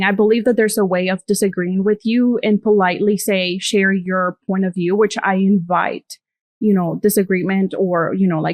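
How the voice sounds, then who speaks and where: In a non-native accent, a woman with a medium pitch speaks at a moderate pace with ordinary pitch variation, in a dry, close sound with no echo. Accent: foreign accent, self-conscious about it. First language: not English. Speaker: content creator. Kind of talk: casual chat.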